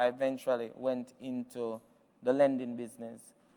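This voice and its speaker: A man with a Jamaican accent, medium pitch, and monotone, flat intonation. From Jamaica, Westmoreland parish. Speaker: business founder, keynote speaker. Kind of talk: keynote speech. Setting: virtual event stream. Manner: hesitant, many fillers.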